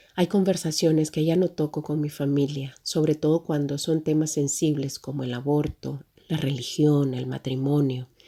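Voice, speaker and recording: Speaking at a moderate pace with hardly any pauses, a woman with a Salvadoran accent has a very deep, low voice, a dark, mellow tone and fairly even intonation. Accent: Salvadoran accent, noticeable in Mexico. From El Salvador. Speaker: humanitarian agency worker, migrant. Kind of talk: personal testimony.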